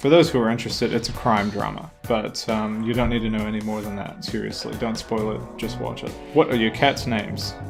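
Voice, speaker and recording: A man with an Australian accent speaks at a fairly quick pace with hardly any pauses, his fairly low pitch moving with ordinary variation over music in the background. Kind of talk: casual letter reading to camera.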